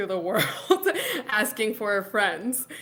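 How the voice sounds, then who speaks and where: Speaking at a very slow pace, a woman with an American accent talks at medium pitch. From Laredo, Texas. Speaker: founder of a professional community. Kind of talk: interview answer. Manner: casual, chatty.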